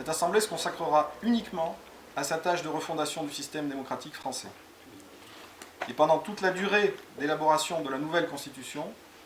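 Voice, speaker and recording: A man speaks at a fairly quick pace in a fairly high voice with ordinary pitch variation. Long, frequent pauses break up his speech, and noticeable background noise runs underneath. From France, Cantal (Aurillac). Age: 40s. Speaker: parliamentary candidate. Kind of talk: campaign presentation.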